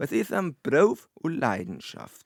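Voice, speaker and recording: A voice in a North Bavarian accent comes through with a dry, close sound and no echo. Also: man. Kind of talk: humorous verse reading in dialect. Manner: steady rhythmic pace.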